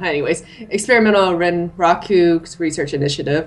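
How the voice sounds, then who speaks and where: There is noticeable background noise behind this woman. She speaks with a fairly low pitch and lively intonation. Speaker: let's play gamer. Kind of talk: casual gaming chat, reading game text aloud. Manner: reads on-screen text aloud, occasional stumbles.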